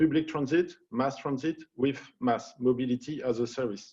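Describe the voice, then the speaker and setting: A man with a French accent, fairly high-pitched, with a dark, mellow tone, fairly even intonation and a moderate pace. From France. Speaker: panel moderator. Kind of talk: panel moderation.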